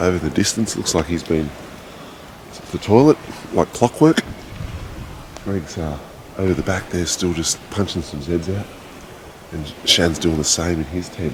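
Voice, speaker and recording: A man with a very deep, low pitch and an Australian accent speaks quietly at a moderate pace with ordinary pitch variation. His loudness swings widely, long pauses come often, and background noise is noticeable. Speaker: motorcycle adventure vlogger. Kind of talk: vlog narration. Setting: outdoors at camp. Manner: casual; quiet, keeping voice down.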